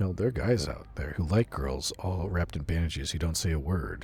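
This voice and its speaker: With music playing in the background, a man with a very deep, low pitch talks at a moderate pace with lively intonation. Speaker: VTuber streamer. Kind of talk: gaming livestream chat. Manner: quiet when off mic, projects on mic; casual, reads chat and game lines.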